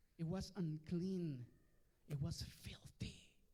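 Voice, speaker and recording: This man speaks with a Mexican accent at a very slow pace. His fairly high pitch carries a dark, mellow tone and fairly even intonation. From Mexico. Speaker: pastor. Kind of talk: bilingual sermon. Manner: switches between Spanish and English, repeats words.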